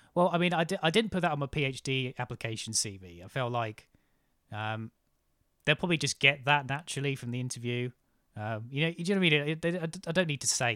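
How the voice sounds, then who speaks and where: In a very clean recording with a silent background and a dry, close sound with no echo, a man talks at a fairly quick pace with a fairly high pitch and a bright, sharp tone. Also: lively intonation. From near Cambridge, England. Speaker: podcast host. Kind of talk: casual chat. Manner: hesitant, filler-heavy.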